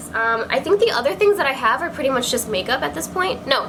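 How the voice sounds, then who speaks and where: A woman projects her high voice with lively intonation. Room echo is audible, and background noise is noticeable. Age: 20s. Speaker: beauty vlogger. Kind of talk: casual chat. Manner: fast; animated.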